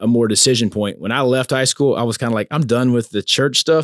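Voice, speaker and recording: A man speaks with a Louisiana accent. His intonation stays fairly even. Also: dry, close sound with no echo. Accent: Southern US, Louisiana. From US South. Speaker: preacher's son, corporate professional sharing faith story. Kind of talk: casual chat, testimony. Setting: recorded live at a men's conference.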